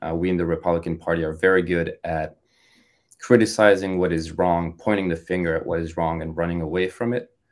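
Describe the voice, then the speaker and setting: A man with a very deep, low pitch speaks at a fairly quick pace and with fairly even intonation. The recording is very clean, with a silent background. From France. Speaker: political campaign advisor. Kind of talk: interview.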